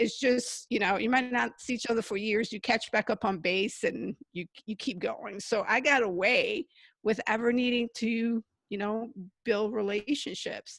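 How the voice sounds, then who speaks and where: Recorded dry and close with no echo, a woman with an unremarkable speaking voice and fairly high pitch talks at a moderate pace with fairly even intonation. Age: 40s. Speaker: author and storytelling coach. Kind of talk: interview. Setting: video call.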